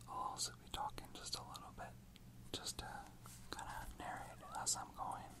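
Whispering at a moderate pace. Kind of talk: ASMR whispered talk while drawing. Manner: whispered.

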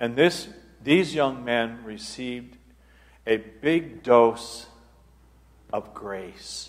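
Very slowly, a man with an American accent speaks with ordinary pitch variation. His loudness swings widely, and long pauses come often. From US Northwest (northern Idaho). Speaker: abbot and retreat speaker. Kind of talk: retreat talk with Q&A. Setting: parish hall with live audience, microphone. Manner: animated storyteller, laughs often. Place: church.

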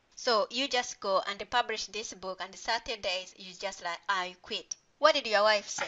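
A woman's unremarkable speaking voice at medium pitch, with ordinary pitch variation, a moderate pace and big swings in loudness. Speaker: podcast host. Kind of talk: interview conversation.

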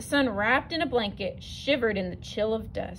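Lively intonation in a natural reading voice

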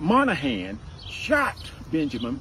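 There is light background noise behind a man's voice. The sound is dry, with no echo. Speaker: community advocate tour guide. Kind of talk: guided tour storytelling. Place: open country. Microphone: camera far.

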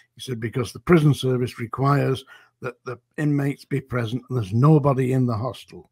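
Somewhat breathy and with a Lancashire accent, the voice moves at a fairly quick pace with fairly even intonation, sounding dry with no echo over a quiet background. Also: man, medium pitch for a man. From northern England. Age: 70s. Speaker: former prison officer. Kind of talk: interview. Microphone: video call.

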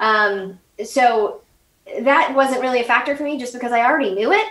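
A woman with an American accent talks at a fairly quick pace with ordinary pitch variation. Audible room echo surrounds her voice. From United States. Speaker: political podcaster, Congress expert; political podcaster. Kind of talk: casual interview.

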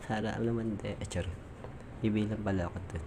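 A man talks with a fairly low pitch. Room echo can be heard. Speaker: vlogger. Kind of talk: casual vlog narration. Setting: outdoors, walking in a busy market.

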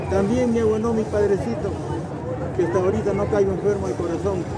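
Amid loud background noise, a man speaks at a fairly quick pace. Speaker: pilgrim. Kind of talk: interview answer. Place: street. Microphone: phone near.

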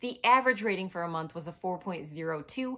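Against a quiet background, a woman speaks at a very slow pace. Her pitch swings very widely. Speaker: book vlogger. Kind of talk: casual vlog chat. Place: home room.

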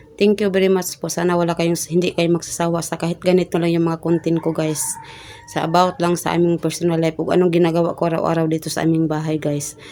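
A woman talks at a very fast pace in a fairly low, monotone, flat voice. Background noise is noticeable. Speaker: vlogger, homemaker. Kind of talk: casual home vlog narration. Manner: halting, many fillers.

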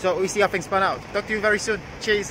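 At a fast pace, a high-pitched man speaks with fairly even intonation over clear background noise.

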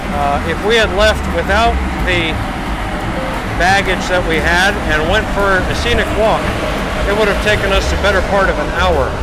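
A man talks at a moderate pace with a dry sound and no echo. Music plays in the background. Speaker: travel vlogger. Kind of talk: casual vlog commentary. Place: boat. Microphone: phone near.

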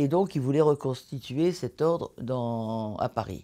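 Against a quiet background, the voice has a dark, mellow tone and moves at a very slow pace. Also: woman. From northern France, Caudry; France. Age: 80s+. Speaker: abbey restorer; interviewee. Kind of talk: interview. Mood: reflective, calm. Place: home room.

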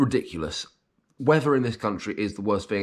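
A man is speaking. He has a British accent. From UK. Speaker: vlogger. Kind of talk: casual vlog monologue; casual vlog chat. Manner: halting. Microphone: webcam.

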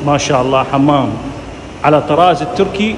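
A male voice with ordinary pitch variation amid noticeable background noise. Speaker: vlogger touring a bathhouse. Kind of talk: casual vlog chat. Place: bathroom. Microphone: phone near.

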